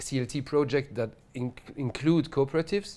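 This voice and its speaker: Strong French accent with ordinary pitch variation, in a very clean recording with a silent background. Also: man. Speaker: housing researcher, PhD candidate. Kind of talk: lecture. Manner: hesitant, many fillers.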